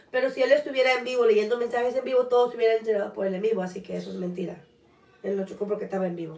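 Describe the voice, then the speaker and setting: Amid audible room echo, a woman talks very fast in a fairly high voice with ordinary pitch variation. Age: 20s. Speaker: podcast co-host. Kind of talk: casual chat. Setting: livestream. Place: home room. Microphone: camera far.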